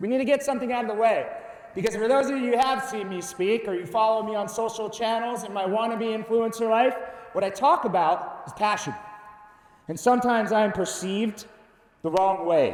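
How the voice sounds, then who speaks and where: A man talks loudly at a fairly quick pace, high in pitch, with an animated tone and ordinary pitch variation. Noticeable background noise and audible room echo fill the recording. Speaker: conference speaker. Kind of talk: keynote presentation. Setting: stage with audience.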